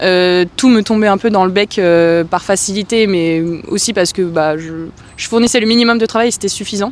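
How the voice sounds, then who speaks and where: With ordinary pitch variation, a woman of medium pitch talks at a moderate pace. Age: 30s. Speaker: aspiring writer, interviewee. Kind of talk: interview testimony. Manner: hesitant, many fillers.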